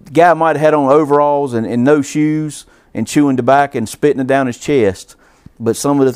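This man talks at a fairly quick pace in a Southern US accent. His pitch is medium, with ordinary variation. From US South, Georgia-Alabama line. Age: 40s. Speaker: racing fan and amateur driver. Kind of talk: casual chat.

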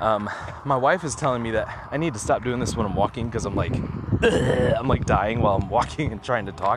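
A man at a fairly quick pace, medium pitch with ordinary variation, noticeable background noise. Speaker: podcaster. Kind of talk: casual monologue. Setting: outdoors, walking. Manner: halting.

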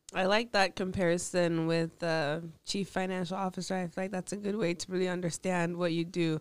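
A woman talks at a fairly quick pace with hardly any pauses, a fairly low pitch and monotone, flat intonation. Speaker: podcast host. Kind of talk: interview conversation.

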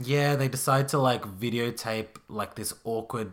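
A man is talking. He speaks with an Australian accent. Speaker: podcast host. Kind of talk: casual chat.

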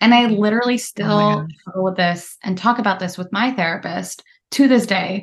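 A somewhat breathy woman with an American accent speaks at a moderate pace, her medium pitch showing ordinary variation. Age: 30s. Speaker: therapist. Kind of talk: casual interview chat. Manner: articulate.

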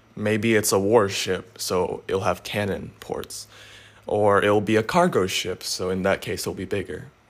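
Here a man speaks with a plain, everyday voice. His pitch is fairly low and his pace fairly slow. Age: young. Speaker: motivational podcaster. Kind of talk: solo motivational talk. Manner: casual.

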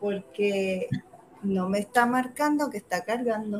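Somewhat breathy, a speaker with a Puerto Rican accent talks at a fairly slow pace with ordinary pitch variation. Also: woman. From Puerto Rico, Humacao. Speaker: actress. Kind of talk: casual chat.

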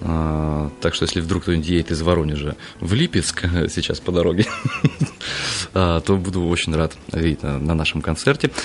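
A man speaks at a very deep, low pitch with ordinary pitch variation. Background noise is noticeable. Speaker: singer and composer. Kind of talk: radio interview. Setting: studio.

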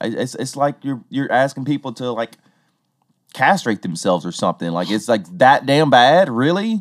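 In a very clean recording with a silent background, a man with a Southern US accent talks at a moderate pace and medium pitch, with very wide pitch swings. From Tennessee. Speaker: podcast host. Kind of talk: casual chat.

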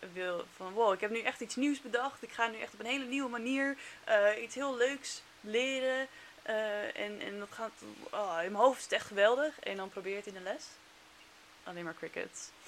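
At a moderate pace, a woman talks with ordinary pitch variation and big swings in loudness. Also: fairly high pitch for a woman. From Netherlands. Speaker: former teacher in China. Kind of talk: casual chat.

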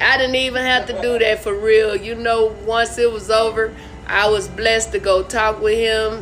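Amid noticeable background noise, a woman speaks at a moderate pace with monotone, flat intonation. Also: fairly high pitch for a woman. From Arkansas. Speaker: comedian and show host. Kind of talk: casual interview chat. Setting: video call.

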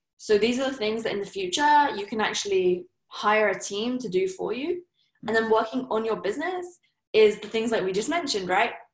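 A woman with a southern English accent, fairly high in pitch, at a fairly quick pace with lively intonation. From southern England, Surrey. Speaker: entrepreneur. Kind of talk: interview.

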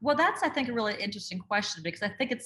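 A woman with an Upper Midwest accent speaks at medium pitch in a bright, sharp tone. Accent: Upper Midwest American. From northern Minnesota, Duluth. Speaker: communications specialist and book writer. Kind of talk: interview conversation.

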